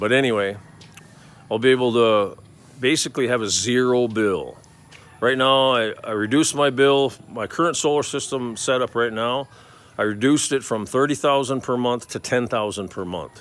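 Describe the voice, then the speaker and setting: An unremarkable speaking voice from a man at medium pitch, moderate in pace, with fairly even intonation. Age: 60s. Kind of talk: casual talk to camera.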